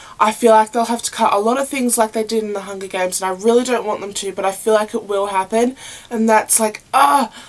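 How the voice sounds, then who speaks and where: Over noticeable background noise, a woman with a fairly high voice talks at a very fast pace with fairly even intonation. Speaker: video blogger. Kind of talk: casual vlog monologue.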